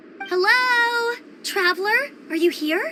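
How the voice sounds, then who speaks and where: A put-on character voice, squeaky and energetic, moves at a fairly slow pace. Clear background noise sits behind it. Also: woman, extremely high pitch for a woman. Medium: video game. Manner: bright, energetic.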